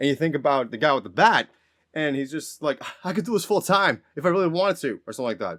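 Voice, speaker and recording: Very fast and animated, a man speaks with lively intonation and a fairly high pitch. The recording is very clean, with a silent background. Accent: American. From Massachusetts North Shore. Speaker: podcast co-host. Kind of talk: casual chat.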